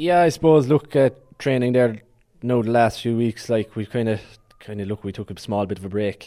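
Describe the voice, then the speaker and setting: Speaking fairly quickly in a Cork accent, a man has a dark, mellow tone at medium pitch with ordinary pitch variation. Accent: Cork Irish. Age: 20s. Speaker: Gaelic football team captain. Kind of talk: sports interview. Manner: hesitant, many fillers.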